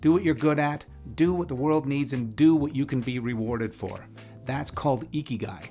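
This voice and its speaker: With music in the background, a man speaks at a moderate pace in a fairly high pitch. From Canada. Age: 50s. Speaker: author and motivational speaker. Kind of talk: scripted advice monologue.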